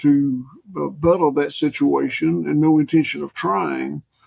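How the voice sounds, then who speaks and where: A Southern US accent from a man. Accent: Southern US (Georgia). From US South, rural Georgia. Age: 60s. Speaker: farmer. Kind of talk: interview conversation.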